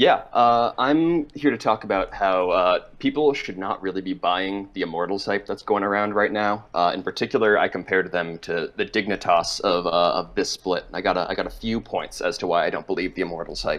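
Hardly pausing at all, a man keeps up a fairly quick pace. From Massachusetts, Boston area. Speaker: caller. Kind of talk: call-in opinion. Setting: call-in to livestream.

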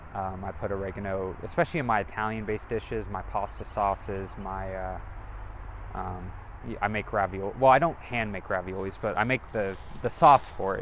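Noticeable background noise runs under a man with an American accent. He talks at a fairly quick pace and a fairly low pitch. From US West Coast, Monterey, California. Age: 20s. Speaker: solo podcaster. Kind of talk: casual solo monologue. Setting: home kitchen; outdoors, walking to a store. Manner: droning.

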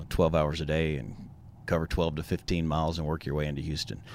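A man speaks at a very fast pace in a Texan accent. His pitch is very deep and low, with fairly even intonation. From East Texas, Tyler. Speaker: rodeo volunteer committee chair. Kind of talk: casual interview. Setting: studio.

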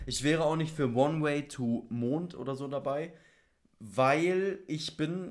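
A man's fairly high voice moves very slowly, its pitch varying in an ordinary way. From Bavaria, Germany. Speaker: podcast co-host. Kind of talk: casual chat.

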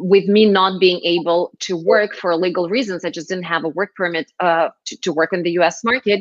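Speaking in a Russian accent at a moderate pace with hardly any pauses, a woman keeps her medium pitch on fairly even intonation. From Moscow, Russia. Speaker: startup founder. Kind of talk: interview.

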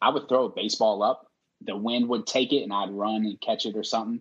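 This man talks with a Southern US accent, keeping a moderate pace. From Mississippi (Biloxi). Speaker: podcast host and army veteran. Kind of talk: casual chat.

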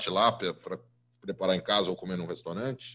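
Here a man talks in a São Paulo accent. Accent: Paulistano Brazilian Portuguese. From Brazil, São Paulo. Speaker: food podcast host and columnist. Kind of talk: casual interview.

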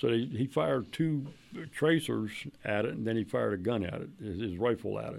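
Very wide pitch swings and vocal fry in an American accent. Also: man. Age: 70s. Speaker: UFO and Bigfoot researcher, retired police officer. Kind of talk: casual interview chat.

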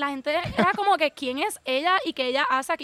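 A woman with a Puerto Rican accent talks at a fairly quick pace in a high, bright, sharp voice with lively intonation. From Puerto Rico. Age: 20s. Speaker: social media creator living abroad. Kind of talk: casual interview. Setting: outdoors at a house in the countryside.

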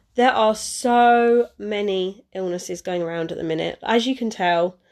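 A woman talks at a fairly slow pace and medium pitch, her tone slightly mellow and her intonation fairly even.

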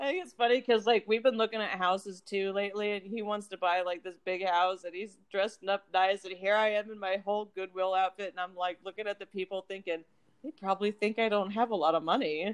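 A woman's plain, everyday voice at a medium pitch, with fairly even intonation, hardly any pauses and a dry, close sound with no echo. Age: 30s. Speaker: podcast co-host. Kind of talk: casual chat.

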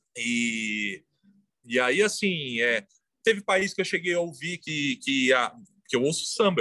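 Bright and sharp in tone, a man speaks at a moderate pace with very wide pitch swings, in a dry, close sound with no echo. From São Paulo, São Mateus (east zone). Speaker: graffiti artist and muralist. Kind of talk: casual interview. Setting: remote call from home balcony.

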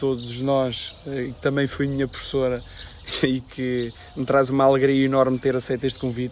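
A man's voice sits at a medium pitch, and he keeps a moderate pace. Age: 30s. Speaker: local election candidate. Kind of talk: interview.

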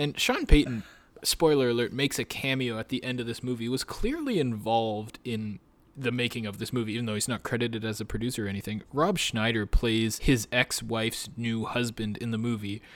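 Speaking with a Canadian accent, a man with a plain, everyday voice talks at a fairly quick pace, medium pitch and fairly even intonation. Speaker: sports podcast co-host. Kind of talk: casual chat.

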